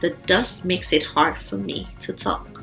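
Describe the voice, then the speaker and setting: A shrill put-on character voice moves at a moderate pace. Clear music plays in the background. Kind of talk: bedtime story. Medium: read story. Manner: chatty, gossipy.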